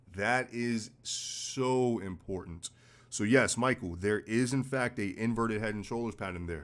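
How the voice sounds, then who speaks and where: With an American accent, a man talks at a fairly slow pace in a medium pitch with ordinary pitch variation. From US Northeast, New York City. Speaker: forex trading educator. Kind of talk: live-stream trading analysis. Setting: live stream. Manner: blunt, casual.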